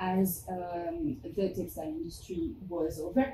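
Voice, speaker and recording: This woman's voice has a dark, mellow tone and is somewhat breathy. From France. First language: French. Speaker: fashion anthropologist and museum curator. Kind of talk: academic presentation. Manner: halting, many fillers.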